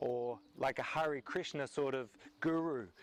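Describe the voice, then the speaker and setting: Recorded very cleanly against a silent background, a man with an Australian accent speaks at a fairly high pitch with ordinary pitch variation. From Australia, Melbourne. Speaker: pastor. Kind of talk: video series presentation on faith.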